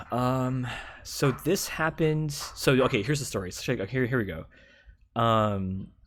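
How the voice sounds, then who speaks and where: On a very clean recording with a silent background, a man talks at a medium pitch. His pace is fairly slow and his intonation lively. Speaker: gamer and streamer telling stories. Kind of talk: casual storytelling monologue. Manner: filler-heavy, says like a lot; casual, animated.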